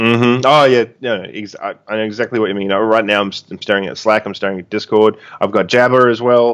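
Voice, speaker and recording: Over a quiet background, a man with an Australian accent talks very fast at fairly low pitch with hardly any pauses, fairly even intonation and big swings in loudness. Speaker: online game player. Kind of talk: casual chat.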